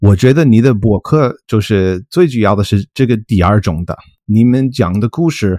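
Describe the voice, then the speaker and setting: In a very clean recording with a silent background, a man with an English accent talks at a moderate pace, his fairly low voice dark and mellow in tone. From US, Colorado. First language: English (speaking Chinese). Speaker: linguistics professor. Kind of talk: casual interview. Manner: halting, many fillers.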